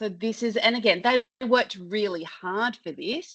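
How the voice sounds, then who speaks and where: Someone with an Australian accent talks at a moderate pace with ordinary pitch variation. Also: woman. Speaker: customer service consultant. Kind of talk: webinar presentation. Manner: loud.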